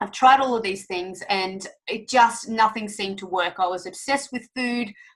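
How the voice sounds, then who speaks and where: Somewhat breathy, a woman's voice sits fairly high in pitch and moves with ordinary variation. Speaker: fitness coach. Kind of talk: sales webinar presentation. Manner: fast; animated.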